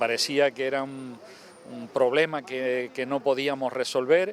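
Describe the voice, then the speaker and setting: Over noticeable background noise, a man speaks at a fairly slow pace with a fairly high pitch and ordinary pitch variation. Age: 60s. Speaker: local politician. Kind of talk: interview.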